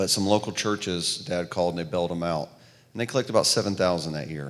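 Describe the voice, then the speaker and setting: A man with a Southern US accent, very deep and low in pitch, with ordinary pitch variation at a fairly quick pace, on a very clean recording with a silent background. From US South. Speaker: missionary relief worker.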